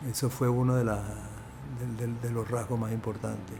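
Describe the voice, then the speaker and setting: A man's medium-pitched voice in a Venezuelan accent, flat and monotone. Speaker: film producer. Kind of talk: interview answer.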